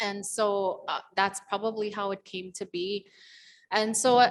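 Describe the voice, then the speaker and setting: A woman is speaking. Her pitch sits at a medium level. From Alberta, Canada (Métis settlement). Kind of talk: public talk at panel. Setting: gallery event with audience.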